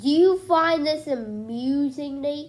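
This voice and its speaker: A woman puts on a character voice, high in pitch and fairly slow in pace. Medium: read story. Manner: curt, stern.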